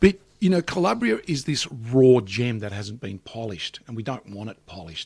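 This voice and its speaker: On a very clean recording with a silent background, a man sounds somewhat breathy. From Australia (Melbourne eastern suburbs), Calabrian family. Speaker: business executive and entrepreneur. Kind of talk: interview conversation.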